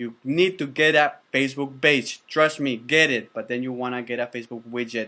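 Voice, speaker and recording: A man's bright, sharp voice at a medium pitch, moving at a fairly quick pace. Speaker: online course instructor. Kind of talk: tutorial course review. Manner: fast; animated.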